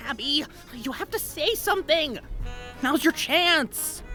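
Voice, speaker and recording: Clear background noise accompanies a female-sounding, put-on character voice that is high in pitch and fairly slow. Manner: whispering.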